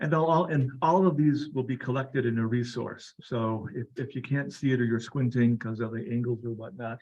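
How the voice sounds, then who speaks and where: Soft-spoken and at a medium pitch, a man talks at a fairly quick pace with hardly any pauses and ordinary pitch variation. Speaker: doctor. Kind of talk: lecture.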